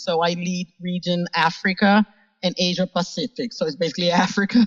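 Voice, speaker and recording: Fairly even in its intonation, this voice carries a somewhat breathy quality. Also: woman. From Brazil. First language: Portuguese. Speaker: business executive. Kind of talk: interview.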